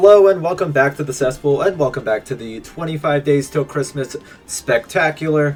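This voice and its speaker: Music plays in the background as a man speaks. His pace is moderate and his pitch varies in an ordinary way. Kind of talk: casual gameplay commentary.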